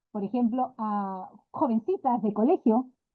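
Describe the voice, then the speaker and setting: A woman talks with ordinary pitch variation. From Peru, Lima. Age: 60s. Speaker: physician and sexology student. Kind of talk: class discussion contribution.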